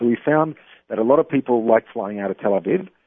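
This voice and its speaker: Australian accent from a man. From Australia, Melbourne. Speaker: travel business owner. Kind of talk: interview. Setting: phone call.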